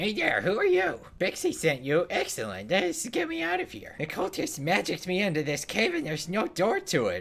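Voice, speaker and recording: A man's high, put-on character voice at a moderate pace with hardly any pauses, over light background noise. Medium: game stream. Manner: brisk, self-assured.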